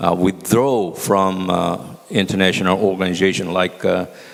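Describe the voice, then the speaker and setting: A man speaks in a very deep, low pitch while noticeable background noise carries on. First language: Korean. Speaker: former ambassador, panelist. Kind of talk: panel presentation. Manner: halting, many fillers.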